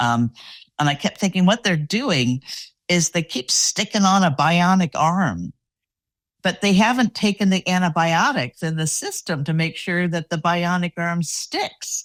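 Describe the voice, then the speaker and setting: A plain, everyday voice with lively intonation moves at a fairly slow pace. The recording is very clean and dry, close with no echo, over a silent background. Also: woman, fairly low pitch for a woman. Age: 60s. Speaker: podcast host, executive coach. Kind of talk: casual interview.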